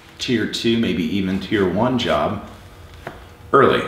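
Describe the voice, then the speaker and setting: Male speech at a fairly slow pace amid audible room echo. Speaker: guest. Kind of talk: interview answer. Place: garage.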